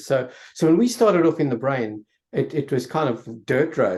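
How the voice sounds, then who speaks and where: Vocal fry runs through the voice over a quiet background. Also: man. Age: 70s. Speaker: neuroscientist. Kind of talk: panel discussion.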